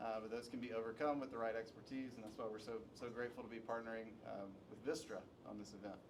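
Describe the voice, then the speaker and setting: Amid audible room echo, a man at medium pitch speaks very fast in a flat, monotone way. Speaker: panel moderator. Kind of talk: panel discussion. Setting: conference room with live audience, unamplified. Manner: projecting to the room. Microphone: speaking without the microphone.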